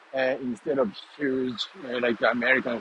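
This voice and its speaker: A man with a Japanese accent talks at a moderate pace against noticeable background noise. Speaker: vlogger. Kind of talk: walking vlog. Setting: outdoors, walking. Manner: halting, many fillers.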